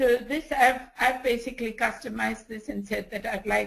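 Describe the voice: A woman's hoarse, put-on character voice, fairly high in pitch, with fairly even intonation at a moderate pace.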